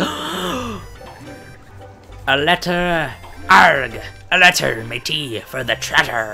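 Over clear background music, a man does a put-on character voice at a fairly high pitch, talking very slowly with long, frequent pauses. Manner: excited, gruff.

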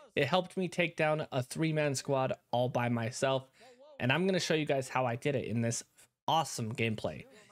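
A man's fairly high voice, with ordinary pitch variation and a moderate pace. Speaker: gaming YouTuber and streamer. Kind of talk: casual gameplay commentary with tips. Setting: online game voice chat. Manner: animated, casual, chatty.

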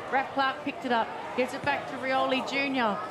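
Her voice is high-pitched. This woman talks with an Australian accent. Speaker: sports commentator. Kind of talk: sports commentary. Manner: excitable, laughing at big moments.

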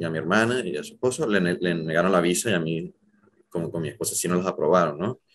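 Speaking fairly quickly, this man shows ordinary pitch variation. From Venezuela, Zulia region; Venezuela. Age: 30s. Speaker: journalist and emigrant; journalist. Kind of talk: interview, personal story. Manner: hesitant, many fillers. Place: home room. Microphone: webcam.

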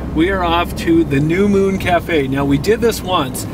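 A man's voice with ordinary pitch variation, dry sound with no echo and noticeable background noise. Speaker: radio host. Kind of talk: casual vlog chat. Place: car. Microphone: camera far.

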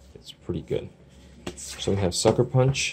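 There is light background noise. A man with an American accent speaks with ordinary pitch variation. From US Midwest (Chicago). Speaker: YouTuber, movie collector; YouTuber. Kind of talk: casual unboxing video. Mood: relaxed, appreciative. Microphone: phone near.

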